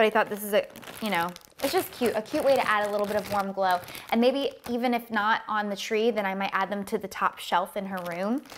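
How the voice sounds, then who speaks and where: Fairly even intonation comes at a fairly quick pace over light background noise. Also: woman. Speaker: lifestyle vlogger. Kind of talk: casual haul vlog chat. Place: home room. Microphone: lapel.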